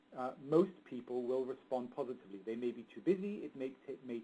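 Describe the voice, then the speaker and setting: Speaking fairly quickly in an English accent, a man has a dark, mellow tone. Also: hardly any pauses, big swings in loudness. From England. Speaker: marketing expert. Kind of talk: webinar presentation. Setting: webinar. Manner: mumbling.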